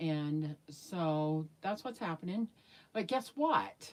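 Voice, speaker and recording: A woman is talking at a very slow pace. Her pitch is fairly low. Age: 60s. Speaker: YouTuber, reborn doll maker. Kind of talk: casual livestream chat. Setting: livestream.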